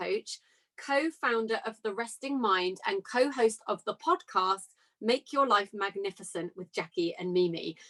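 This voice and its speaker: A woman's voice has a bright, sharp tone and very wide pitch swings. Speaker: podcast host, confidence coach. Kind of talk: podcast intro and interview.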